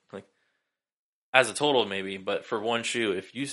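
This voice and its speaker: Against a quiet background, a man talks at a fairly quick pace in a bright, sharp tone with ordinary pitch variation. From Sacramento, California. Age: 20s. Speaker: sneaker collector. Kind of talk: casual chat. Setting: home studio.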